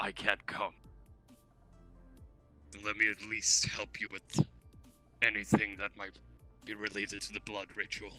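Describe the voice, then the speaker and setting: A raspy put-on character voice delivers monotone, flat intonation with big swings in loudness. Long, frequent pauses break it up over faint music in the background. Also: man, fairly low pitch for a man, moderate pace. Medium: game stream. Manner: terse, low-key.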